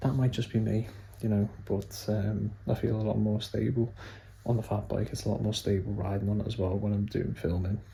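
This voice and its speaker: In a Lancashire accent, a soft-spoken man talks at a fairly quick pace with a somewhat breathy, dark, mellow tone, a fairly low pitch and monotone, flat intonation. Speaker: cycling vlogger. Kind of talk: vlog recap. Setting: at home, evening.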